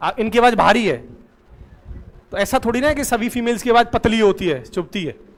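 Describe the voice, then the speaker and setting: Ordinary pitch variation and a moderate pace are broken up by long, frequent pauses. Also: man, extremely high pitch for a man. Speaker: teacher. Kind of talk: classroom lecture.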